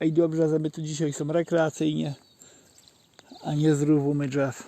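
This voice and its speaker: In a Żywiec highlander accent, a man speaks at a fairly high pitch and a moderate pace, his intonation monotone and flat. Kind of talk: casual outdoor talk to camera. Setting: outdoors. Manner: spontaneous storytelling.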